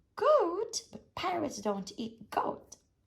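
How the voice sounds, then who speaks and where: Someone performs a put-on character voice at a fairly slow pace, with very wide pitch swings. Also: extremely high pitch. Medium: read story. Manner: blustering, commanding.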